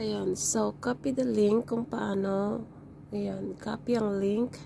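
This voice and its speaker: Noticeable background noise runs behind a woman speaking. Her very deep, low pitch moves in very wide swings. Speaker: tutorial vlogger. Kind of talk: tutorial. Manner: halting.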